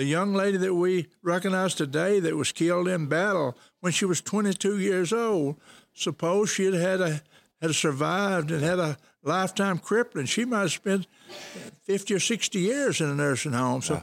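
A man with an American accent and high pitch speaks at a moderate pace with very even loudness and ordinary pitch variation, in a dry, close sound with no echo. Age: 80s+. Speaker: nonprofit board chairman. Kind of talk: casual interview. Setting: on location outdoors.

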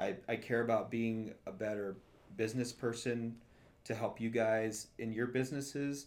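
Fairly even intonation in an ordinary speaking voice, paced moderately. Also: man, medium pitch for a man. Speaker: podcast host. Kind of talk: casual chat.

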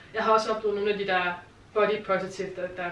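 A woman speaks very fast at a medium pitch with monotone, flat intonation. Audible room echo and noticeable background noise surround her voice. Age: 30s. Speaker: television developer. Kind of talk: casual chat.

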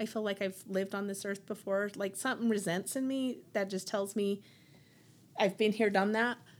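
A woman's voice comes through at a medium pitch. Her recording is very clean, and the background is silent. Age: 40s. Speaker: cancer patient. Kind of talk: casual chat.

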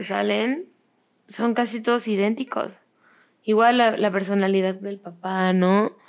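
A woman with a plain, everyday voice and medium pitch speaks at a fairly slow pace with fairly even intonation, in a very clean recording with a silent background. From Mexico. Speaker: podcast host. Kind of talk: casual chat.

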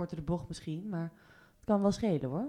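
The speaker uses a normal speaking voice with ordinary pitch variation. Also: woman. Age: 20s. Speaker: film club founder. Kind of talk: casual chat.

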